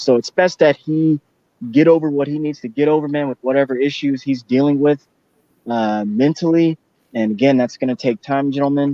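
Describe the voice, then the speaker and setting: At a moderate pace, with ordinary pitch variation, this is a plain, everyday voice. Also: man. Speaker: boxing talk show host. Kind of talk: casual chat.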